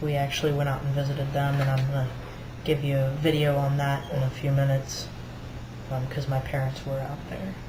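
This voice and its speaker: A man talks in a flat monotone at a fairly high pitch and a fairly quick pace. Audible room echo surrounds his voice. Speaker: video blogger documenting transition. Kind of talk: casual vlog update. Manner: halting, many fillers.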